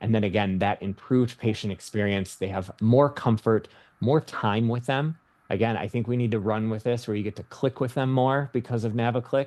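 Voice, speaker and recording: At a fairly quick pace, a man with a medium pitch speaks using fairly even intonation. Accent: Michigan. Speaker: nurse practitioner. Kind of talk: webinar presentation.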